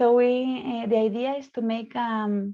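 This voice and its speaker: A woman's dark, mellow voice with a Spanish accent, at a very slow pace and with fairly even intonation. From Spain. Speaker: psychologist leading a student discussion. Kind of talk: moderated online discussion. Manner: halting, many fillers.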